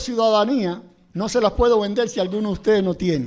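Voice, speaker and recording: A fairly fast-talking man with a high voice and normal pitch movement. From Cuba. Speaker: pastor. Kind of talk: sermon.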